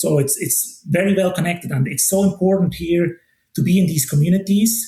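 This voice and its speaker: In a Swiss accent, a man with a high pitch and a dark, mellow tone talks at a moderate pace with ordinary pitch variation. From Switzerland. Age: 40s. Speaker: watch brand ambassador. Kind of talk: podcast interview. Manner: casual, many fillers and restarts.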